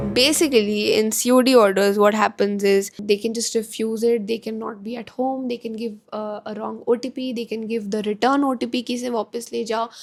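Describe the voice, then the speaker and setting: With an Indian accent, a woman talks at a fairly quick pace in a fairly high pitch with monotone, flat intonation. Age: 20s. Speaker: entrepreneur. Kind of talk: casual talk to camera.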